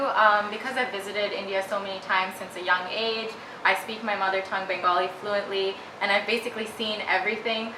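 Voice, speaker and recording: A woman with an American accent speaks at a fairly quick pace with fairly even intonation, over noticeable background noise and audible room echo. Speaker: actress and model. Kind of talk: interview. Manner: hesitant, many fillers.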